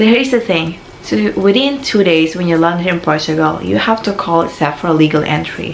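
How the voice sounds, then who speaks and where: Speaking with a Filipino accent, a woman has a fairly low pitch and lively intonation at a moderate pace. Noticeable background noise and audible room echo surround her. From Philippines. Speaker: vlogger. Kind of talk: casual advice vlog.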